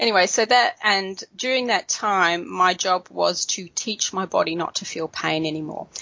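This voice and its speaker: In an Australian accent, a woman speaks with ordinary pitch variation. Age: 50s. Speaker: colouring YouTuber. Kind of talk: interview.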